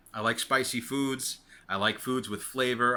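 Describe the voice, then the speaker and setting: A man's voice in a New York accent with a bright, sharp tone, on a very clean recording with a silent background. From New York City, Queens. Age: 40s. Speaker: weight loss vlogger. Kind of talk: casual vlog monologue. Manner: rambling, repetitive with many fillers.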